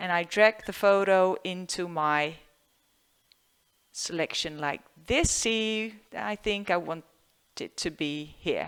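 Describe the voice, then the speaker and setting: Speech comes at a very slow pace in a Dutch accent, with long, frequent pauses. The recording is very clean, with a silent background. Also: woman, medium pitch for a woman, ordinary pitch variation. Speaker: photographer. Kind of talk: tutorial. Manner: halting.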